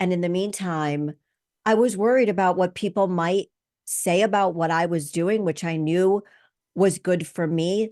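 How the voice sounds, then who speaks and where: Against a quiet background, a woman with a dark, mellow tone speaks at a fairly slow pace in a medium pitch, her intonation fairly even. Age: 60s. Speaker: podcast host. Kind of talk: podcast monologue.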